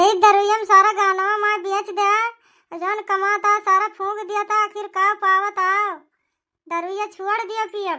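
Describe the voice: A woman's cartoonish character voice, extremely high and bright with a sharp tone, little pitch movement and a fairly slow pace, in a very clean recording with a silent background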